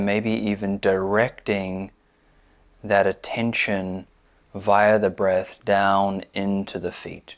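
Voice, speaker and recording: Soft-spoken and calm, with a gentle tone, a man talks at a very slow pace in a monotone, flat intonation and a fairly low pitch against a quiet background. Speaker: meditation teacher. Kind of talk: guided body scan meditation, slow step-by-step cues through the body. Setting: seated in a chair, recorded video. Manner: calm, gentle, soothing cadence with soft repeated invitations like 'just'; hesitant filler-laden intro with frequent 'um'. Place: home room.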